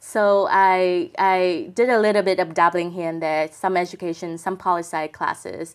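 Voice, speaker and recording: Speaking at a moderate pace with fairly even intonation, the voice carries a Vietnamese accent on a very clean recording with a silent background. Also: woman. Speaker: tech publication executive. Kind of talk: interview.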